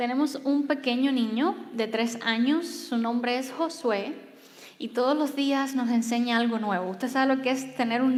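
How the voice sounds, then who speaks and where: A soft-spoken woman's high voice at a moderate pace, with fairly even intonation and audible room echo. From Cuba. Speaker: pastor. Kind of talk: sermon.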